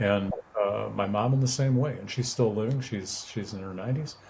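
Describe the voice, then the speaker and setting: A somewhat breathy man with an American accent and fairly even intonation. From US Midwest, suburb of Milwaukee, Wisconsin. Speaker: prison ministry volunteer, sight-impaired guest. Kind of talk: interview testimony. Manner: halting, many fillers and repeated words.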